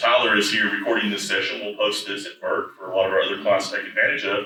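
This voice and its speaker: Audible room echo surrounds the voice. A man speaks with an East Tennessee accent. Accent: East Tennessee Southern. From East Tennessee, US South. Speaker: IT services executive, conference speaker. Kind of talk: conference presentation. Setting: conference stage with audience. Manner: loud.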